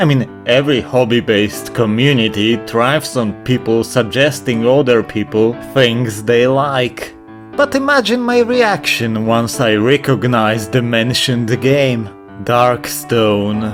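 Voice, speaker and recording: Fairly slow speech at a very even loudness, with ordinary pitch variation and music in the background. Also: man, medium pitch for a man. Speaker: video game reviewer. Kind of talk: video game review narration. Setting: poor microphone.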